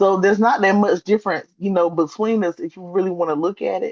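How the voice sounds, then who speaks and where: A woman's medium-pitched voice, fairly quick and fairly even in intonation, with a dry, close sound and no echo. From US South. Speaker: literature writer and book reviewer. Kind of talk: interview conversation.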